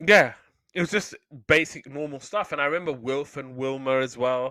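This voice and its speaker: A man's bright, sharp tone in a British accent, fairly high in pitch, with ordinary pitch variation at a moderate pace. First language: Somali. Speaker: podcast host. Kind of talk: casual chat; reading aloud.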